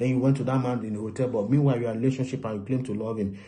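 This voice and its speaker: This man's voice has a dark, mellow tone. It sounds somewhat breathy. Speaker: relationship preacher. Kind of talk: sermon. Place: home room. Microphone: phone near.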